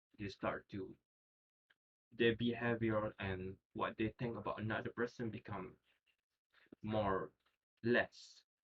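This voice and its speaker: Speaking at a very slow pace with long, frequent pauses, a man with a non-native accent uses monotone, flat intonation. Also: medium pitch for a man. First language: not English. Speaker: student. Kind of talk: class presentation. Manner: halting.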